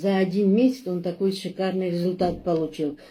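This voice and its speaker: Somewhat breathy, a woman speaks at a medium pitch with a dark, mellow tone. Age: 60s. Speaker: customer giving product testimonial. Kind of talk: testimony. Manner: halting, with many fillers.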